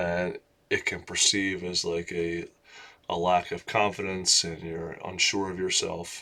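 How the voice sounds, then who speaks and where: A man mumbling at a fairly slow pace. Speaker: vlogger. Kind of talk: casual monologue vlog. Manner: loud; mumbling, run-on sentences.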